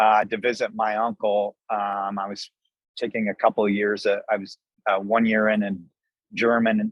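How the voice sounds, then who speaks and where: A man at a moderate pace, monotone and flat, with an American accent. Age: 60s. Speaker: restaurant owner, army veteran. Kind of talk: interview.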